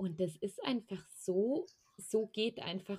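Very slowly, a woman speaks in a somewhat breathy voice with ordinary pitch variation. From Allgäu, southern Germany. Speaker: energy healer and spiritual coach. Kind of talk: casual interview.

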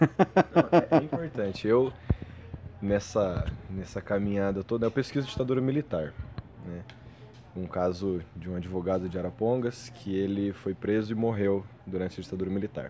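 Moderate-paced speech from a man with a fairly low pitch, ordinary pitch variation, and noticeable background noise. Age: 20s. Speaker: history master's student. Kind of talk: casual chat.

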